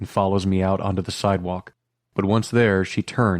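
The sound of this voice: An unforced reading voice over a quiet background, with fairly even intonation.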